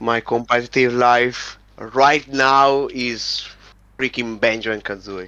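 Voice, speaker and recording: A man with an Italian accent, medium-pitched and bright, sharp in tone, very slow, with fairly even intonation. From Italy. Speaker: competitive gamer. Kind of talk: interview. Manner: halting.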